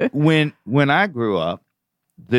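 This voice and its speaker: A man talks at a fairly slow pace with an American accent and lively intonation, in a plain, everyday voice. The sound is dry and close with no echo, over a quiet background. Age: 60s. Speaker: investment banker. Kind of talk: radio interview. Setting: studio.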